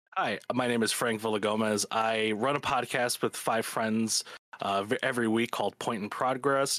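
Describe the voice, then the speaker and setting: A man's fairly low voice in a Chicago accent, with fairly even intonation at a moderate pace, in a very clean recording with a silent background. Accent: Chicago American. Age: 20s. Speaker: podcaster. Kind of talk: casual chat.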